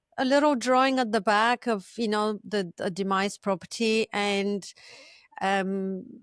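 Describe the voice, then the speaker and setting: In a Bulgarian accent, a woman with a fairly high pitch speaks at a fairly slow pace with ordinary pitch variation, in a dry, close sound with no echo on a very clean recording with a silent background. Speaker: property manager and podcast host. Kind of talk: podcast interview. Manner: halting.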